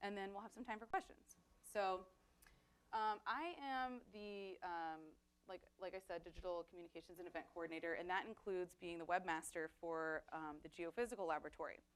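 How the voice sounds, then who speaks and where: The delivery moves at a fairly quick pace. Pitch variation is ordinary. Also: woman, medium pitch for a woman. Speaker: digital communications coordinator and webmaster. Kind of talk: workshop presentation. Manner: fast.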